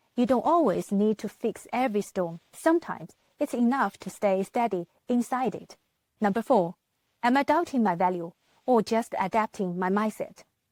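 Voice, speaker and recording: With a non-native accent and a fairly high pitch, a woman talks at a moderate pace with lively intonation, in a very clean recording with a silent background and a dry, close sound with no echo. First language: not English. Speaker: business manager and vlogger. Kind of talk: motivational talk.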